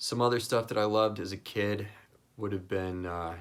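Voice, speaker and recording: With an American accent, a man talks in a normal speaking voice, his pitch fairly low and his intonation fairly even. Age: 30s. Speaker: hobbyist content creator. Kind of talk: casual personal talk to camera.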